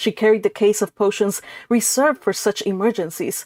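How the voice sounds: The clip features a natural reading voice.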